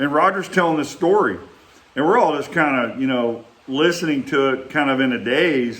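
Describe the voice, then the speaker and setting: A man with a Texas accent talks at a moderate pace and fairly high pitch with ordinary pitch variation, with audible room echo and noticeable background noise. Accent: Texas Southern. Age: 60s. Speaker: vlogger reminiscing, former bricklayer. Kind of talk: casual storytelling monologue. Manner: halting, with many fillers.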